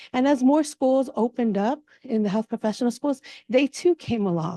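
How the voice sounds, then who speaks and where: With a dark, mellow tone and lively intonation, a woman talks at a moderate pace in a high pitch, the sound dry and close with no echo. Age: 50s. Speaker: physician. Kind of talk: symposium talk.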